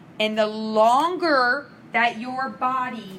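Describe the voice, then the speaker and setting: A woman speaks with fairly even intonation. There is audible room echo and noticeable background noise. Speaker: nursing instructor. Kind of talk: lecture.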